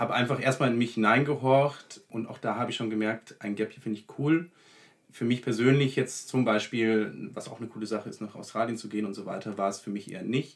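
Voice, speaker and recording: A man's unremarkable speaking voice at medium pitch, with fairly even intonation and big swings in loudness. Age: 20s. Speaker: law student. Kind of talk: casual interview.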